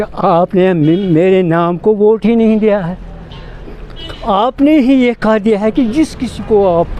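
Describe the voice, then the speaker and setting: The speech has lively intonation. Noticeable background noise runs underneath. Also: man. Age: 70s. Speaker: elderly voter. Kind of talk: street interview.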